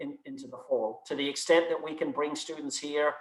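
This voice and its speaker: A man with a non-native accent talks at a moderate pace and a fairly high pitch, his intonation flat and monotone. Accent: noticeable foreign. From outside the US. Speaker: university provost. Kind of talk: Q&A answers at student government meeting. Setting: video call. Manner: hesitant, many repetitions.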